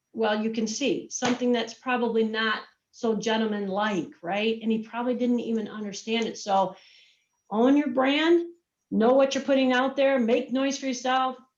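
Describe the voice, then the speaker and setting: A woman speaks at a moderate pace with a fairly high pitch. Her pitch varies in an ordinary way. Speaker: marketing and communications executive. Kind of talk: virtual presentation. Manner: energetic.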